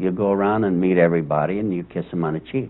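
This is a man speaking. His pitch variation is ordinary. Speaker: interviewee. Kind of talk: interview answer. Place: office.

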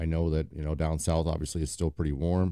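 Against a quiet background, a man talks in a very deep, low voice, the sound dry with no echo. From US Midwest (Quad Cities, Iowa/Illinois); Iowa. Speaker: podcast host, paddleboard enthusiast; podcast host. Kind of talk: casual solo podcast monologue. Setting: home basement. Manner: casual, filler-heavy (lots of um, uh). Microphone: studio mic.

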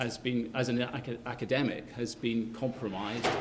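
Light background noise behind a man's moderately paced speech. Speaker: keynote speaker. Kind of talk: lecture. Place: hall.

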